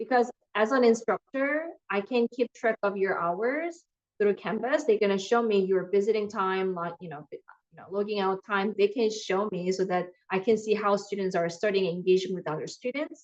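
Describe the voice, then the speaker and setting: A woman talks at a moderate pace with a medium pitch and ordinary pitch variation, an unremarkable speaking voice. Her loudness swings widely. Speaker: math professor. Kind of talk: online lecture. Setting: video call.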